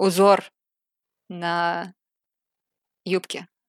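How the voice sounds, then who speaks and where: Flat and monotone, a woman with a fairly low voice is captured on a very clean recording with a silent background and a dry, close sound with no echo. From Saint Petersburg, Russia. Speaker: cosplayer and artist. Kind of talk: casual chat.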